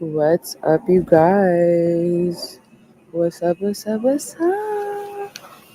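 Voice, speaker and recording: Very slow speech over noticeable background noise. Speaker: podcast host and livestreamer. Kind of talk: casual livestream chat.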